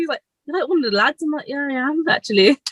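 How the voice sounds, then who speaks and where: A high-pitched woman in a strong Brummie accent, with lively intonation. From West Midlands, Birmingham area. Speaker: electrician. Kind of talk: casual chat. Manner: fast.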